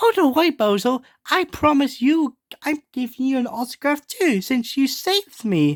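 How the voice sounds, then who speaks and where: In a put-on character voice, this female-sounding speaker uses a high pitch at a moderate pace. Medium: read story. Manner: polite, eager.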